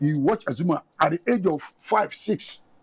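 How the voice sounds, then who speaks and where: Light background noise sits behind a man whose voice is somewhat breathy. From Ghana. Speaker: boxing coach; coach, guest. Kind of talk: studio interview. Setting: studio. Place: studio. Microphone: lapel.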